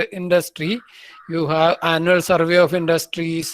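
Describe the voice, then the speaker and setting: A man speaks with an Indian accent at a moderate pace. His pitch is high. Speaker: professor. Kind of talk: lecture.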